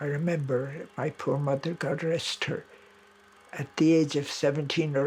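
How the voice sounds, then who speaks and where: A man with an Irish accent speaks using fairly even intonation. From Ireland. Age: 70s. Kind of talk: documentary interview.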